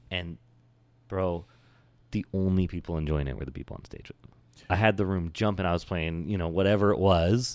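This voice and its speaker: Using an American accent, a man with a very deep, low pitch talks at a fairly quick pace, with long, frequent pauses, big swings in loudness and ordinary pitch variation. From Oregon, US. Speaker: DJ. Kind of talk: casual chat.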